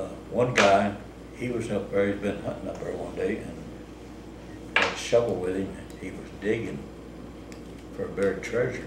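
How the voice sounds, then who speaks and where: With a rural Missouri accent, a man at a fairly low pitch and ordinary pitch variation speaks at a moderate pace with long, frequent pauses, amid noticeable background noise and audible room echo. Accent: rural Missouri American. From US Midwest, Southeast Missouri. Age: 80s+. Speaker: storyteller. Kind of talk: casual storytelling interview. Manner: conversational, halting.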